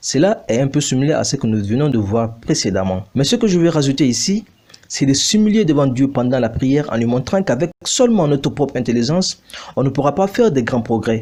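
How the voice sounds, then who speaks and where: In a non-native accent, the speaker talks at a fairly quick pace with very wide pitch swings and a dark, mellow tone. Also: man. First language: not French (speaking French). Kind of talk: bible teaching video. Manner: formal.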